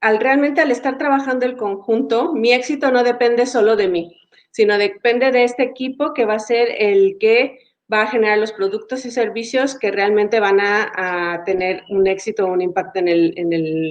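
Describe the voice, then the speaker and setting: A woman speaks with a Mexican accent. Her pitch is fairly high. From Mexico. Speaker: agile coach and facilitator. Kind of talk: webinar talk.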